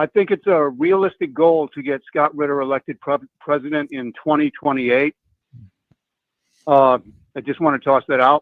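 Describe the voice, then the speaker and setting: With fairly even intonation and long, frequent pauses, a man with a fairly high pitch speaks at a moderate pace. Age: 60s. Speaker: caller. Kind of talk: call-in question. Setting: phone call.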